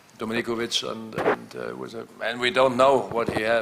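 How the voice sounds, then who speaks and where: A man is speaking. Background noise is clearly audible. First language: not English. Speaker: handball coach. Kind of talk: press conference. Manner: halting.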